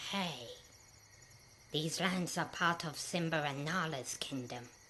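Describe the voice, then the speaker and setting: The speaker uses a put-on character voice at a middle pitch. The pace is fairly slow, and background noise is clear. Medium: machinima.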